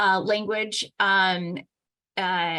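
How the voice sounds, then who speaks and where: A woman with a bright, sharp tone speaks at a medium pitch against a quiet background. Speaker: agency staff presenter. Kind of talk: public board meeting presentation. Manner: hesitant, many fillers.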